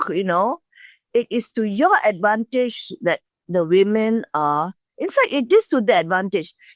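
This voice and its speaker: A very slow delivery with very wide pitch swings, in a very clean recording with a silent background and a dry, close sound free of echo. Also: woman. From Singapore. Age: 80s+. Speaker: lawyer and women's rights advocate. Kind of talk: interview answer.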